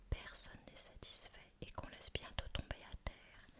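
Soft-spoken whispering at a fairly slow pace over loud background noise. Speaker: reader of a history book. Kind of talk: reading aloud with casual asides. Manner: soft whispered reading aloud.

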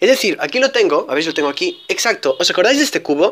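On a very clean recording with a silent background, a man speaks with very wide pitch swings. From Spain. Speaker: YouTuber, Rubik's cube reviewer. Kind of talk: product unboxing review.

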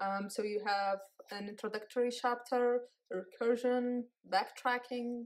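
A woman speaks with fairly even intonation against a quiet background. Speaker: book reviewer. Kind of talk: casual book review. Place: home room. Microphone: phone near.

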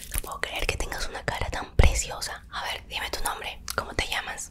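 Whispering and soft-spoken, a woman talks at a moderate pace over noticeable background noise. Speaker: ASMR creator. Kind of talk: ASMR roleplay chat, soft casual talk to viewer. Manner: soft close-mic ASMR whisper. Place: home room. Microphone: studio mic.

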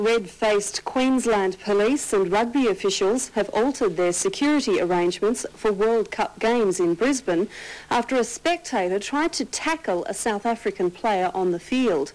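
Someone with an Australian accent speaks with lively intonation and hardly any pauses. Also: woman, moderate pace. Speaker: news presenter. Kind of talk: news reading. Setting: TV studio. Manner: formal. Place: studio.

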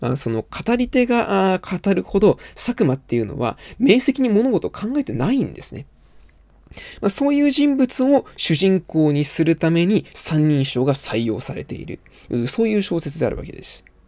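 Quiet surroundings and a moderate pace. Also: man. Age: 20s. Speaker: literature commentator. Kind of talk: lecture. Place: home room.

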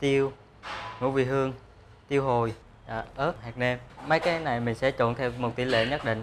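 Over noticeable background noise, a man speaks at a moderate pace with ordinary pitch variation. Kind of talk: interview answer. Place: factory.

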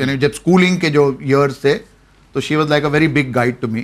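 A man's fairly high voice at a moderate pace. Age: 50s. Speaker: former snooker champion; interview guest. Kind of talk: interview. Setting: studio. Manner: sounds harsh in tone. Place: studio. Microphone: lapel.

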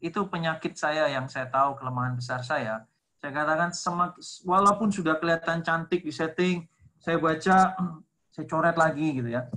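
In a quiet setting, a man talks at a moderate pace with a fairly high pitch and a bright, sharp tone. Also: ordinary pitch variation. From Indonesia. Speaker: lecturer and textbook author; guest, lecturer. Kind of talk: online seminar talk. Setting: video call. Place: home room. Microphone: video call.

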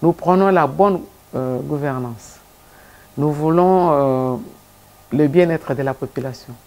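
A woman talks in a dark, mellow tone at a very deep, low pitch. She goes at a very slow pace with long, frequent pauses. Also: ordinary pitch variation. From DR Congo. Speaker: civil society leader; guest. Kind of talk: TV interview. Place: studio.

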